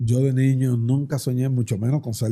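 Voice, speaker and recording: The voice is somewhat breathy, with a dark, mellow tone. It moves at a fairly slow pace. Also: man. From Dominican Republic. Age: 60s. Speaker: politician. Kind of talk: interview.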